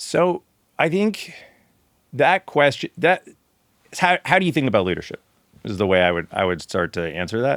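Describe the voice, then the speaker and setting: A man speaks loudly with vocal fry, very wide pitch swings and long, frequent pauses. The very clean recording has a silent background and a dry, close sound with no echo. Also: medium pitch for a man, moderate pace. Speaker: lawyer, managing partner. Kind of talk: interview. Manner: loud, projecting.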